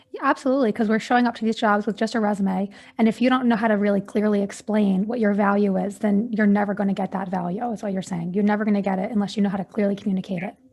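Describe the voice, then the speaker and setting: A soft-spoken, somewhat breathy woman at medium pitch talks at a very fast pace with hardly any pauses and fairly even intonation. The recording is very clean, with a silent background. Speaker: podcast host. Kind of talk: interview.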